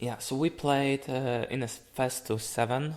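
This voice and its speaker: A man talks very slowly. His medium-pitched voice shows ordinary pitch variation. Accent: Polish. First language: Polish. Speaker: fighting game player and commentator. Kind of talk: gameplay analysis commentary. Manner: halting.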